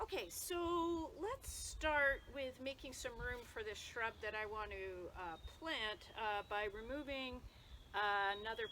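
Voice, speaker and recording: Using a raised, projected voice, a woman speaks fairly slowly in a high pitch with a bright, sharp tone and very wide pitch swings. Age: 60s. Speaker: yoga therapist. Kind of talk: tutorial.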